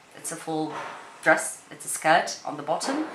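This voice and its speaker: Amid noticeable background noise and audible room echo, a woman speaks at a fairly low pitch and a moderate pace, with fairly even intonation. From Portugal. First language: Portuguese. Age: 30s. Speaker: beauty YouTuber and actress. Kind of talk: casual chat. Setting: home spare room, camera on tripod. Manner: rambling, halting.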